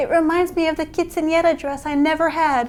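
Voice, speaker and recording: A woman with an American accent speaks in a playful tone at an extremely high pitch. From Texas, USA. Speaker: burlesque performer, stand-up comic and host. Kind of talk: casual comedic DIY how-to talk to camera. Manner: playful, sassy, comedic.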